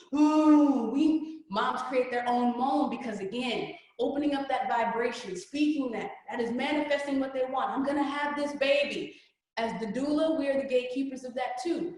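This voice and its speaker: Audible room echo surrounds the voice. A woman speaks with a high pitch. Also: ordinary pitch variation. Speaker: reiki practitioner and energy coach. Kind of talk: workshop presentation. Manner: fast; casual, informal.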